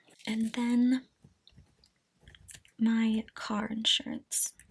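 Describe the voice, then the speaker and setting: The voice is soft-spoken. It sounds somewhat breathy. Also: woman. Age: 20s. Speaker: budgeting and cash stuffing YouTuber. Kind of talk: casual talk to camera, budget walkthrough. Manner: soft-spoken, ASMR style.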